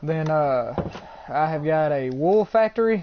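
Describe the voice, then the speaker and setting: A man's fairly high voice with an Alabama accent. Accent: Southern US (Alabama). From US South, Alabama. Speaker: gamer streamer. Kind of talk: live gameplay stream commentary. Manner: casual, rambling and self-correcting.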